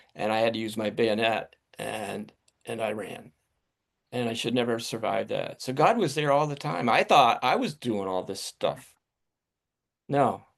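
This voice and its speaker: A man with an American accent speaks at a moderate pace and medium pitch, with ordinary pitch variation and vocal fry. He leaves long, frequent pauses. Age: 70s. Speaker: Vietnam veteran and retired attorney. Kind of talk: interview.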